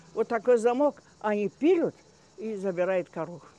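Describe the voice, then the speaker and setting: A woman's medium-pitched voice, dark and mellow in tone, with very wide pitch swings at a moderate pace. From Crimea, Gaspra. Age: 90s. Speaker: elderly local resident recounting wartime memories. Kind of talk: oral history interview. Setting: outdoors walk. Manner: halting, many hesitations.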